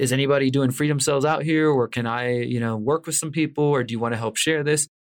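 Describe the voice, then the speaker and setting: Fairly quick and fairly even in intonation, a man with a normal speaking voice talks at a medium pitch with an American accent. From Houston, Texas. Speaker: investigative journalist and author. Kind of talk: interview conversation.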